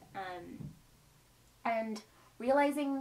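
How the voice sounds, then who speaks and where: The voice belongs to a woman. Pitch shifts by an ordinary amount as she talks. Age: 20s. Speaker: YouTube vlogger. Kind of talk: casual vlog monologue. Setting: filming alone on camera at home. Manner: rambling, casual. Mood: reflective venting. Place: home room. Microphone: camera far.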